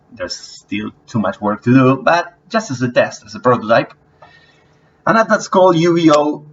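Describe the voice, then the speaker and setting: Using a non-native accent, a man talks at a moderate pace and fairly high pitch. His pitch swings very widely and his loudness shifts in big swings. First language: not English. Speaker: app developer. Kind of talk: tutorial. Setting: screen recording on laptop. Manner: halting. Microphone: low-quality laptop audio.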